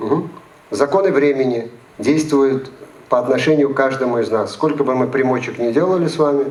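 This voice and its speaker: Against noticeable background noise and audible room echo, the speaker moves at a moderate pace with ordinary pitch variation. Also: man. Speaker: psychologist and lecturer. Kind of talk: lecture.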